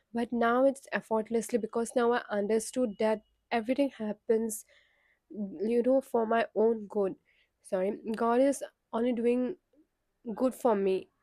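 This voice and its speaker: A woman speaks at a fairly slow pace with a fairly high pitch, ordinary pitch variation, a dark, mellow tone, and long, frequent pauses. The recording is very clean and dry, close with no echo, against a silent background. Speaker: spiritual content creator. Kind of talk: casual talk to camera. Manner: conversational with hesitations.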